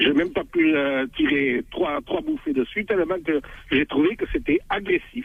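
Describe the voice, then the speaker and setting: A man with a high pitch speaks fairly slowly, his pitch swinging very widely while his loudness stays very even. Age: 60s. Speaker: caller. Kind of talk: radio call-in testimony.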